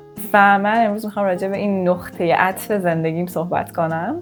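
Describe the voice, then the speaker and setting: Music in the background behind a woman's fairly low voice, moderate in pace, with fairly even intonation. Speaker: YouTuber. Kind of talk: casual vlog storytelling. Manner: conversational.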